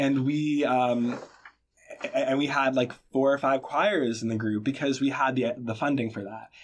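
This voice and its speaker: Speaking with an American accent, the man has a plain, everyday voice at a medium pitch, a moderate pace and fairly even intonation. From Boston, Massachusetts. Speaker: college a cappella singer. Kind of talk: interview.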